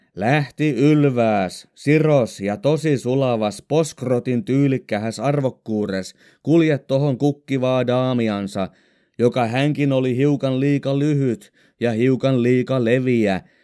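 A man speaks with a Southern Ostrobothnian accent in a dark, mellow tone. His very slow delivery keeps a very even loudness on a very clean recording with a silent background. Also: medium pitch for a man, ordinary pitch variation. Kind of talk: audiobook reading of humorous dialect stories.

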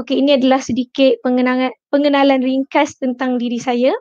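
Fairly even intonation comes across over a quiet background. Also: woman. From Perak, Malaysia (Kuala Kangsar); Perak, Malaysia. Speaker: tech company presenter; presenter. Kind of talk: webinar tutorial. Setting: online webinar. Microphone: video call.

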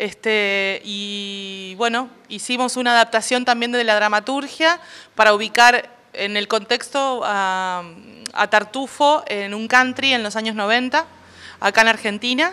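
A woman's bright, sharp tone at a fairly slow pace, with ordinary pitch variation. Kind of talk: interview answer. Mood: relaxed, promotional. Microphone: handheld.

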